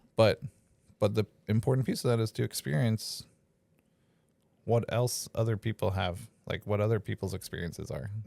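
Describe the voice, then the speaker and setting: In a very clean recording with a silent background and a dry, close sound with no echo, the voice shows vocal fry, ordinary pitch variation, a moderate pace and long, frequent pauses. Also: man, fairly low pitch for a man. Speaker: podcast host. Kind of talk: casual chat. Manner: loud.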